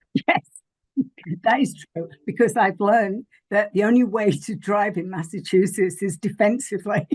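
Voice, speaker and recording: Speaking at a moderate pace in an English accent, a woman's somewhat breathy voice sits at a medium pitch with ordinary pitch variation. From England. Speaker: spiritual teacher and Reiki master. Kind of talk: podcast interview.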